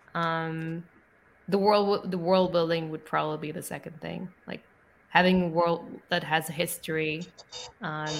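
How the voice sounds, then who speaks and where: Speaking at a moderate pace with a non-native accent, the speaker shows ordinary pitch variation and big swings in loudness. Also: woman. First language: not English. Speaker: book podcaster. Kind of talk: casual chat. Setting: video call.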